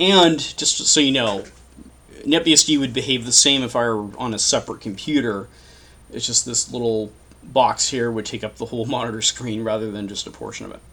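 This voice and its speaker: At a fairly quick pace, a man of medium pitch speaks with ordinary pitch variation and big swings in loudness. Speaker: tech tutorial youtuber. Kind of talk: screen-recorded tutorial. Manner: fast; casual, thinking aloud. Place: home room.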